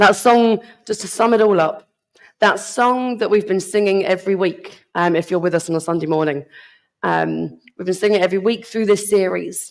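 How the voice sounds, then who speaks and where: In a put-on character voice, a woman speaks at medium pitch and a moderate pace. Her voice is hoarse, croaky and raspy. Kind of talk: church speaker addressing congregation.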